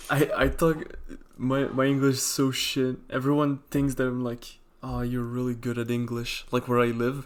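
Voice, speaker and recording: At a medium pitch and moderate pace, a man speaks in a monotone, flat intonation with a non-native accent. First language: not English. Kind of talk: casual chat.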